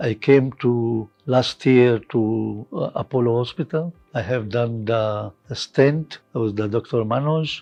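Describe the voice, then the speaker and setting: A man talks at a very slow pace. Music can be heard behind him. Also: medium pitch for a man, ordinary pitch variation. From Lebanon. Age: 70s. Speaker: hospital patient. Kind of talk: patient testimonial. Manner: hesitant, halting.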